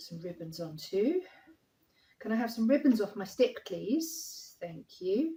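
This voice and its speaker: Somewhat breathy and dark, mellow in tone, a woman speaks at a fairly slow pace with very wide pitch swings. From southeast London, England. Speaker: acrylic paint artist. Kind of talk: painting tutorial. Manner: casual, chatty with fillers.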